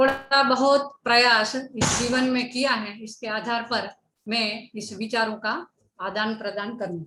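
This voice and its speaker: A woman with a Gujarati accent speaks at a fairly high pitch, her intonation fairly even. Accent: Gujarati-accented Hindi. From Gujarat, India. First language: Gujarati (speaking Hindi). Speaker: education speaker. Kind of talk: lecture. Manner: formal.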